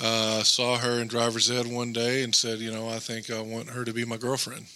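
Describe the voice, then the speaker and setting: Noticeable noise sits behind the speaker. A man talks at a moderate pace. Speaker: guest. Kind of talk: casual chat. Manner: soft-spoken.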